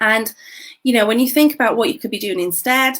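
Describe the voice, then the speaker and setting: A woman speaks with a British accent. Her pitch sits fairly high. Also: very clean recording, silent background. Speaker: business coach. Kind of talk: livestream talk. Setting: Facebook live video. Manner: whispering slightly.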